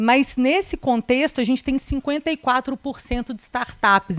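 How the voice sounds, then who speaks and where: A woman speaks at a moderate pace with a slight Minas Gerais accent. The sound is dry and close, with no echo. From Minas Gerais, Brazil (Belo Horizonte). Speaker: corporate lawyer. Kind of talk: presentation. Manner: hesitant, many fillers.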